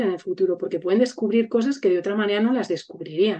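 The tone is dark and mellow. Delivery comes at a fairly quick pace. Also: woman. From Spain, Burgos. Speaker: educator. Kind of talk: casual chat.

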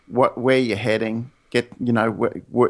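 Speaking at a moderate pace in an Australian accent, a man with a medium-pitched voice keeps a monotone, flat intonation. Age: 50s. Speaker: real estate agent. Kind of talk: interview. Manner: hesitant, repeats words.

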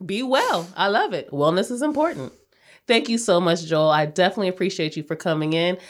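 A woman with a normal speaking voice talks at a fairly quick pace and medium pitch, her intonation lively, in a very clean recording with a silent background. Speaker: podcast host. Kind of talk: interview.

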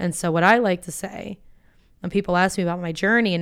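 A woman's medium-pitched voice with an American accent, very fast and fairly even in intonation, in a very clean recording with a silent background. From Florida (Boca Raton). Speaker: business school student and blogger. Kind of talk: interview conversation.

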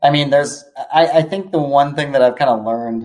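With an American accent, an unremarkable speaking voice moves at a fairly quick pace with ordinary pitch variation. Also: man. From US West Coast, California. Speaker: venture capital investor. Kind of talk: casual interview chat. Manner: casual, filler-heavy.

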